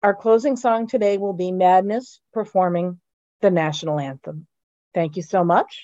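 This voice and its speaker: A woman speaks with an American accent at a moderate pace. Her tone is dark and mellow. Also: medium pitch for a woman, ordinary pitch variation. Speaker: podcast host. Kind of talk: podcast intro and outro.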